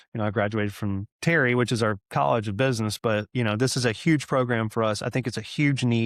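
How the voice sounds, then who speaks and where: A man with a Southern US accent talks very fast at medium pitch, with hardly any pauses. The recording is very clean and dry, close with no echo, over a silent background. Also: ordinary pitch variation. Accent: Southern American. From Georgia, USA. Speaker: restaurant group CEO. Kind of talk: interview answer. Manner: casual, enthusiastic.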